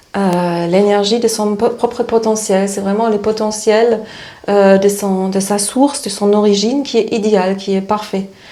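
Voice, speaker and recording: A woman with a slight German accent speaks at medium pitch and a fairly slow pace, her intonation monotone and flat. Noticeable background noise and audible room echo are present. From East Germany. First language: German (speaking French). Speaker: spiritual therapist. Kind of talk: interview. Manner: halting, many hesitations.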